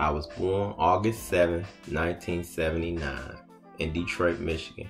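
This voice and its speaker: Clear music plays behind a man speaking. His pitch is very deep and low, with ordinary variation. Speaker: show host telling his life story. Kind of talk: casual monologue vlog.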